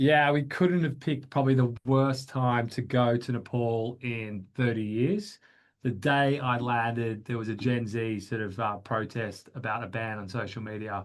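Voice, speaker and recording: A man with an Australian accent, medium in pitch, at a moderate pace with hardly any pauses and ordinary pitch variation. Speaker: business founder. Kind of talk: webinar interview. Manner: hesitant, many fillers.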